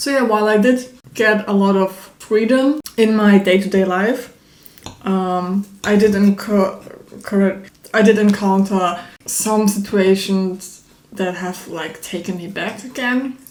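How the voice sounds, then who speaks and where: A woman with a non-native accent speaks fairly slowly at medium pitch and with fairly even intonation. Noticeable background noise is present. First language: not English. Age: 20s. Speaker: YouTuber. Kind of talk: personal vlog monologue. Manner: hesitant, many fillers; spontaneous, unscripted.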